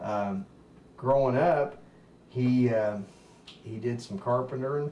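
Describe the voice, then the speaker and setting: With a Kentucky accent, a man speaks at a very slow pace over noticeable background noise. His medium pitch varies in an ordinary way. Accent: Kentucky, US South. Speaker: family member sharing memories. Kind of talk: casual chat.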